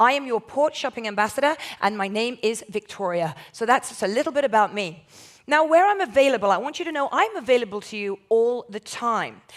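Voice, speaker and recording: With a southern English accent, a woman talks at a fairly quick pace in an animated tone, with lively intonation. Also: fairly high pitch for a woman. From southern England. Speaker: port shopping ambassador, former journalist. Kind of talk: presentation to audience, sales pitch. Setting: stage with audience, recorded.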